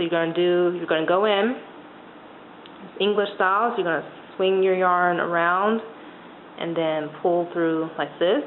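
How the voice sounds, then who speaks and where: A woman with long, frequent pauses, amid noticeable background noise and audible room echo. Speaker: knitting instructor. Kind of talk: tutorial. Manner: slow; hesitant.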